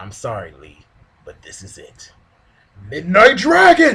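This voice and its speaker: Putting on a character voice, a man speaks at a fairly slow pace with a high pitch. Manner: over-the-top anime acting, deliberately bad.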